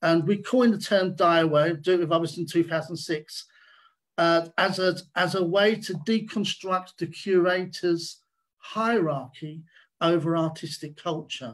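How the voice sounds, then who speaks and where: Against a quiet background, a man speaks at a fairly slow pace in a high voice. His intonation stays fairly even. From England, working class. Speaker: artist. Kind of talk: online panel talk. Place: home room. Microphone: video call.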